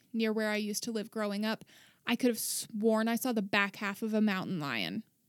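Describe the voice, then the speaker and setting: A woman's fairly high voice with an American accent, animated in tone, at a moderate pace, in a very clean recording with a silent background and a dry, close sound with no echo. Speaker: drinker teaching topics. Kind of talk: casual chat. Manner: animated, joking.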